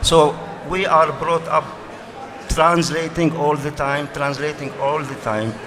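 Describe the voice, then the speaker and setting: A man speaks at a fairly slow pace with an Arabic accent, with noticeable background noise and audible room echo. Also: fairly even intonation. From Arabic-speaking country. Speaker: writer. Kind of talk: panel discussion. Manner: halting, repetitive.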